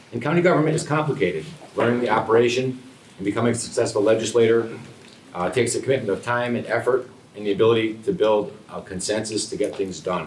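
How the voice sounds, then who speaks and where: There is audible room echo as a man talks at a very fast pace with an American accent. His medium-pitched voice has lively intonation. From upstate New York, Rotterdam. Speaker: political candidate. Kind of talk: candidate forum speech. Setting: public forum room, no microphones. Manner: loud.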